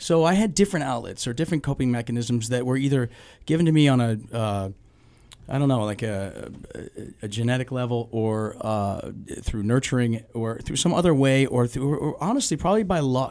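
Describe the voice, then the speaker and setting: A man speaks at a fairly quick pace with lively intonation. The background is quiet. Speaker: guest. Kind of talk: interview answer. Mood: reflective, candid. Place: studio. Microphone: studio mic.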